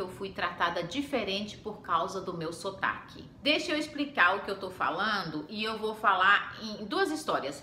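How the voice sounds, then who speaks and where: A woman at a moderate pace with very wide pitch swings, plus audible room echo and noticeable background noise. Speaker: homemaker and mom vlogger. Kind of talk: casual vlog storytelling.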